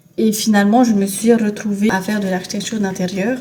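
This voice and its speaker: Moderate pace and fairly even intonation in a Tahitian accent, over noticeable background noise. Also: woman. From Tahiti, French Polynesia. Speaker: lifestyle vlogger. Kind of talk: casual vlog chat.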